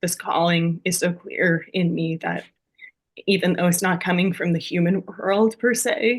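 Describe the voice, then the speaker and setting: At a fairly slow pace, a woman speaks with a somewhat breathy, fairly low-pitched voice and fairly even intonation. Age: 30s. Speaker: guest with spasmodic dysphonia. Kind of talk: podcast interview. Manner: halting, many fillers.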